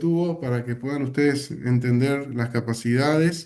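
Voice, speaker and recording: A man's fairly high pitch in a dark, mellow tone, with ordinary pitch variation. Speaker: company sales director presenting products. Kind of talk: webinar product presentation.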